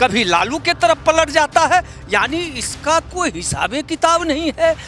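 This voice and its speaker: A man with an extremely high voice speaks against noticeable background noise. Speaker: farmer activist. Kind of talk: street interview.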